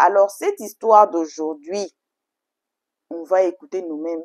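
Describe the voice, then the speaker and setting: The woman speaks at a fairly slow pace. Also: dry, close sound with no echo. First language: English (speaking French). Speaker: YouTube storytelling channel host. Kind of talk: casual video intro to viewers. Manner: halting, effortful French.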